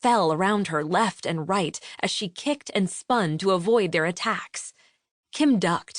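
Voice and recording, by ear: In a quiet background, text is read aloud in a natural voice.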